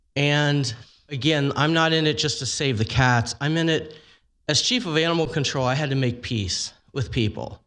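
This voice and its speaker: At a moderate pace, a man of medium pitch talks with lively intonation against a quiet background. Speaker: animal welfare advocate. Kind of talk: public testimony. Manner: loud.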